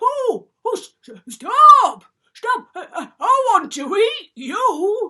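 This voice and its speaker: In a put-on character voice, the speaker goes at a very slow pace with very wide pitch swings. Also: woman, extremely high pitch for a woman. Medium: read story. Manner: stammering.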